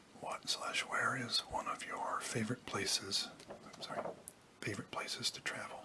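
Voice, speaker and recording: Whispered words from a man, moderately paced, with noticeable background noise. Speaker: ASMR creator. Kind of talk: casual Q&A talk to camera. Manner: whispered, soft-spoken; hesitant, with frequent filler words.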